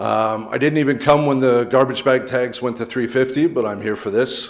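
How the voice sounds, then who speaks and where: A man speaks with a Canadian accent and ordinary pitch variation. There is audible room echo. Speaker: local resident speaking at public meeting. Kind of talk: public comment at council meeting. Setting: council chamber with public gallery.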